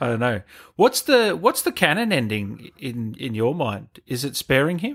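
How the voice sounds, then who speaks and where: Very wide pitch swings from a man with an Australian accent, fairly high in pitch and at a moderate pace. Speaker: gaming channel host. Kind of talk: casual interview. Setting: video call. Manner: casual.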